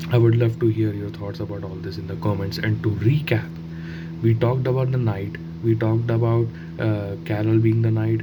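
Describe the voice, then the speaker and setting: Clear background noise and audible room echo surround the recording. A man speaks at a medium speed. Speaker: gaming YouTuber. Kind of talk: casual monologue. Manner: halting, many fillers and restarts.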